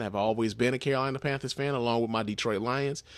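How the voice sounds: A man talks at a fast pace with a medium pitch and ordinary pitch variation. The recording is very clean, with a silent background.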